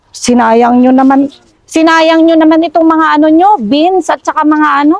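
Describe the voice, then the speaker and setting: Very even loudness and ordinary pitch variation at a moderate pace. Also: woman, extremely high pitch for a woman. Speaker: vlogger. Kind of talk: casual chat. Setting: outdoors.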